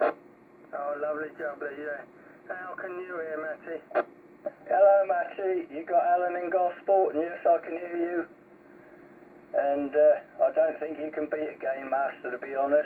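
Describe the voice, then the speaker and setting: Amid noticeable background noise, a man with a high pitch speaks at a fairly slow pace with fairly even intonation and big swings in loudness. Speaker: CB radio operator. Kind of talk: casual radio chat. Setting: CB radio.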